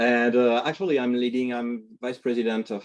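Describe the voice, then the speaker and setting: A fairly quick pace with a French accent. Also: man. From France. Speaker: tech company executive. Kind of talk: panel discussion on video call. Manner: halting, many fillers.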